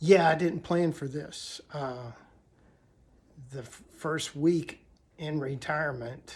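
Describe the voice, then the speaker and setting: A man's somewhat breathy voice at a very slow pace, with fairly even intonation. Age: 60s. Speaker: retired vlogger. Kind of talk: casual vlog monologue. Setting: at home. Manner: halting, many fillers.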